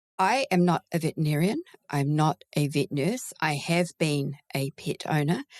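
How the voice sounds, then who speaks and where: A woman with a New Zealand accent speaks at a moderate pace in a very deep, low pitch, with ordinary pitch variation and very even loudness, on a dry, close recording with no echo, very clean with a silent background. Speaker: veterinary recruiter. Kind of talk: casual interview.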